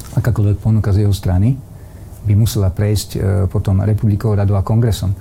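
Words come out very quickly. Background noise is clearly noticeable. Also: man. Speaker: politician, former defence minister. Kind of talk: political interview.

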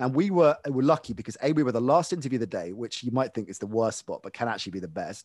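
In a British accent, a man talks very fast at a medium pitch, with lively intonation and big swings in loudness. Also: hardly any pauses. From UK. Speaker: sports broadcaster. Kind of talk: casual interview.

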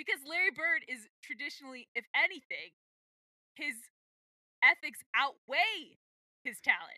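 A woman with an American accent at an extremely high pitch, her raised, projected voice bright and sharp in tone, animated, with very wide pitch swings and big swings in loudness, at a fairly slow pace with long, frequent pauses, in a dry, close sound with no echo. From US, Washington D.C. area. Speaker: podcast co-host. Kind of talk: casual chat.

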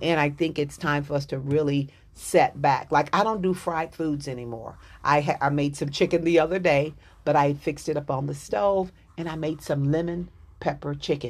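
A woman with a Texas accent, very deep and low in pitch, with fairly even intonation, a moderate pace and a quiet background. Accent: Southern US, Texas. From Dallas, Texas. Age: 60s. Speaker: author, life coach and chaplain. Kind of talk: interview, casual chat.

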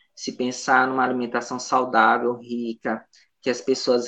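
At a medium pitch, the man keeps his speech at a moderate pace. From Brazil, São Luís, Maranhão. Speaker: nutritionist. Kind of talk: radio interview. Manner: hesitant, many fillers.

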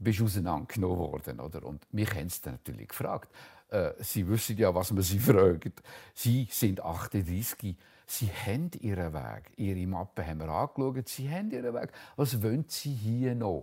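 Speaking with a Zug accent, a man uses a fairly low pitch, a dark, mellow tone, vocal fry and lively intonation at a moderate pace. The recording is very clean, with a silent background. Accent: Swiss German (Zug). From Switzerland, canton Zug. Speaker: painter. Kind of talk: interview, life story. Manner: halting, many hesitations.

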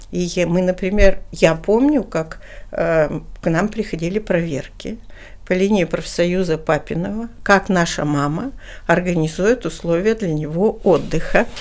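In a plain, everyday voice, a woman speaks at a fairly slow pace and a medium pitch, with ordinary pitch variation. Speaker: human rights official, former politician. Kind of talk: interview.

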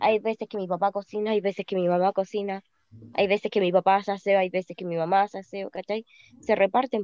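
A woman speaks at a very fast pace in a medium pitch, her tone dark and mellow with a monotone, flat delivery. Her loudness swings widely, and the sound is dry and close with no echo. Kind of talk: casual chat.

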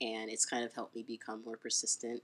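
A woman talks at a fairly quick pace. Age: 30s. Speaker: website founder. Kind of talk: casual interview chat. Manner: hesitant, many fillers.

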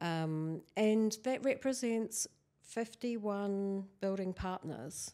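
A woman with a New Zealand accent, medium in pitch, dark and mellow in tone, at a very slow pace with ordinary pitch variation. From New Zealand, Canterbury. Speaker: architectural historian. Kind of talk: interview.

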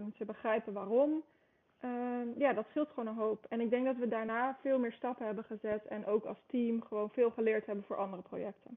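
A woman's unremarkable speaking voice, fairly high in pitch, with fairly even intonation at a fairly quick pace. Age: 20s. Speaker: sports federation marketer. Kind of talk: podcast interview.

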